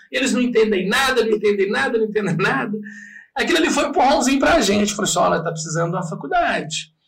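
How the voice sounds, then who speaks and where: A man talks very fast at a high pitch, his voice swinging very widely up and down. Audible room echo surrounds him. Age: 40s. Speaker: radio host and comedian. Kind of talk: casual chat.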